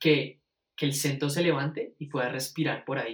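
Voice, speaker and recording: This man speaks with ordinary pitch variation. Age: 20s. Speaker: music student. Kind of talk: casual conversation. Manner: halting, many repetitions.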